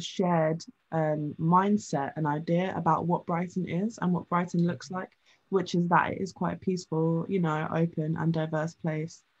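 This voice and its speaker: With fairly even intonation, a woman's somewhat breathy voice stays at a fairly low pitch. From England. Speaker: magazine founder and editor. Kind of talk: casual chat. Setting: video call.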